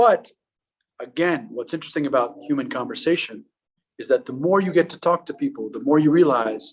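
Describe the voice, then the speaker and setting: With an Iranian accent, a man talks at a moderate pace in a fairly high pitch, his pitch swinging very widely. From Afghanistan, raised in US from 1980s. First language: Farsi. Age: 30s. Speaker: public speaker. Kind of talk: public talk. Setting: art gallery with audience.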